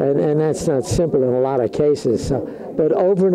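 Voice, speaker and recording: Over noticeable background noise, a man with an American accent talks at a moderate pace in a fairly high pitch, with ordinary pitch variation. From New York City (Brooklyn). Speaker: award honoree. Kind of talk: interview. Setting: hotel event. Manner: halting, many fillers.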